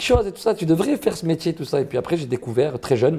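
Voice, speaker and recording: This man's voice has a dark, mellow tone. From southern France, Marseille. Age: 30s. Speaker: comedian. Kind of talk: interview. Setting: interview. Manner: casual, animated.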